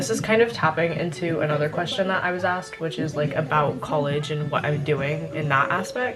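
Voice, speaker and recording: Quiet and very deep in pitch, a woman with an American accent speaks at a fairly quick pace with ordinary pitch variation. Audible room echo and noticeable background noise fill the recording. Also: hardly any pauses. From California and Louisiana. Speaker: lifestyle vlogger. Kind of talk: casual Q&A vlog. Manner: quiet, lowered voice; chatty, filler-heavy.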